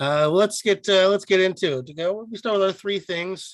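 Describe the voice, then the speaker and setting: On a very clean recording with a silent background, a man speaks at a high pitch. His pace is moderate and his pitch variation ordinary. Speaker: podcast co-host. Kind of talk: casual chat. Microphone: not talking into mic, sounded worse.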